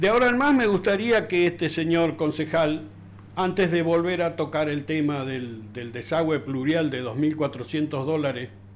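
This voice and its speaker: A man speaks at a moderate pace with a fairly high pitch. Noticeable background noise runs behind him. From Argentina, Río Negro (Darwin). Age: 60s. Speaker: local resident. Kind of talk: interview. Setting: studio. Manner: halting, many fillers and repetitions.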